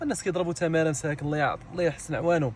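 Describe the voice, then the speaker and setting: Here a man talks at a very fast pace. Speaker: perfume shop owner. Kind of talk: casual video message. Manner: animated.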